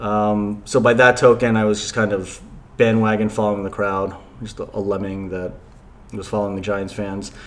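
With an American accent, a man speaks at a moderate pace in a fairly low pitch, his intonation monotone and flat, his loudness swinging widely, and a room echo audible. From New Jersey. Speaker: sports fan guest. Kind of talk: casual chat.

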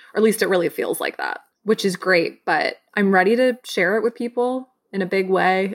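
Dry and close with no echo, a woman talks at a moderate pace in an ordinary speaking voice. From US Midwest, Michigan. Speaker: film writer and director. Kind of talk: casual interview.

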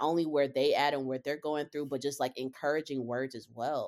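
A woman's very deep, low voice comes through in a very clean recording against a silent background. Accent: American. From Charlotte, North Carolina. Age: 30s. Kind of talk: casual chat.

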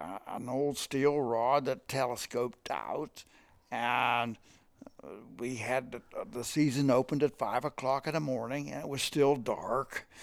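Delivered at a fairly slow pace with vocal fry, the voice shows ordinary pitch variation and big swings in loudness over a very clean recording with a silent background. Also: man. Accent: American. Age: 90s. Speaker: fly fishing expert. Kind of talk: casual chat. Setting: fishing cabin. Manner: animated.

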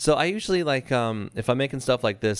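In a plain, everyday voice, a man speaks at a moderate pace with an American accent. His intonation is lively, and the recording is very clean with a silent background. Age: 30s. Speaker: podcast co-host. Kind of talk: casual chat.

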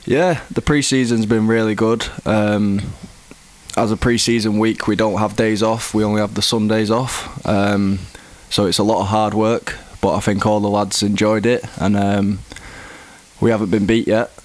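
A man speaks at a moderate pace in a fairly low pitch with an English accent, his intonation fairly even and his loudness very even. Noticeable background noise is present. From England. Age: 20s. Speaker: professional footballer. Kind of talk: interview.

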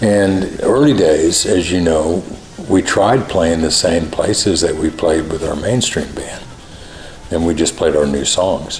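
Over music in the background, a man with a very deep, low pitch talks at a fairly slow pace with ordinary pitch variation. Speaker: music industry executive and former musician. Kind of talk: interview.

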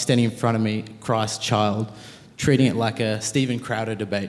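There is audible room echo around a man speaking at a moderate pace with an Australian accent. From Australia, Penrith, Sydney. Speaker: university student and pro-life activist. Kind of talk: interview on stage.

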